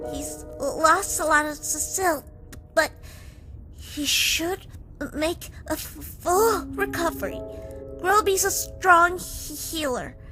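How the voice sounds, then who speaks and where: A cartoonish character voice over clear music in the background. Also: fairly slow pace. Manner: stuttering, hesitant.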